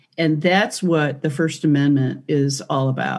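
A woman speaks with a Michigan accent and a very deep, low pitch. Her pace is fairly slow. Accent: Midwestern American (Michigan). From Michigan, US (Detroit). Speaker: priest and former civil rights attorney. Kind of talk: interview conversation.

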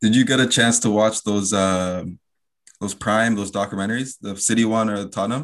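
In a Canadian accent, a man speaks at a fairly quick pace in an ordinary speaking voice, fairly low in pitch with fairly even intonation, against a quiet background. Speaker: podcast host. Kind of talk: casual interview.

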